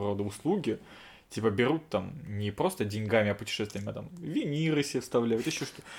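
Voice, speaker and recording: A fairly quick pace carries an unremarkable speaking voice. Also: man. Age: 30s. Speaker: podcast host. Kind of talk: casual chat. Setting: same room as co-host.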